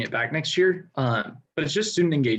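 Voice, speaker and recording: A somewhat breathy voice carries lively intonation. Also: man. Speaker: student government candidate. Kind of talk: debate answers. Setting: video call. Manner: fast.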